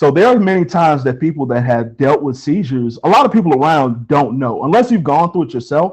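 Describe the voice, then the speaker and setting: A man with fairly high pitch, lively intonation and a very fast pace, hardly any pauses, against a quiet background. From Chicago, South Side. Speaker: hospital worker and security guard. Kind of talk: interview. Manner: calm.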